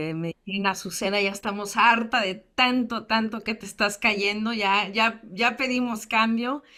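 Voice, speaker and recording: Speaking at a fairly slow pace with hardly any pauses, a woman uses a bright, sharp tone at a fairly high pitch with fairly even intonation. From US, San Diego, California (Mexican immigrant family). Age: 30s. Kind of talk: personal testimony in an online class interview. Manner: hesitant, many fillers and repetitions.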